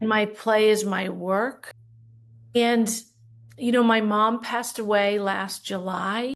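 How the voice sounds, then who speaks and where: At a very slow pace broken by long, frequent pauses, a woman speaks in a fairly high, monotone voice with flat intonation. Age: 60s. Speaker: leadership coach and business owner. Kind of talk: podcast interview.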